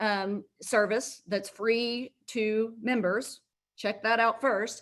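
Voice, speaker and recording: The pace is very slow and the loudness very even. Intonation stays monotone and flat. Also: woman, fairly high pitch for a woman. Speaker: healthcare law presenter. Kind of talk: webinar presentation. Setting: live virtual webinar.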